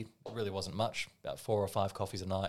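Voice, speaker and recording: Someone talks at a very fast pace with an Australian accent. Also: man, very clean recording, silent background. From Australia, Melbourne. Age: 30s. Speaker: barista. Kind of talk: casual chat.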